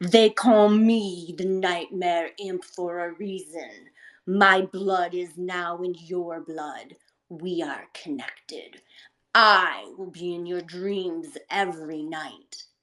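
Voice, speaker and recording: A female-sounding, put-on character voice growls at a middle pitch in a menacing tone. The pace is very slow. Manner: snarling, menacing.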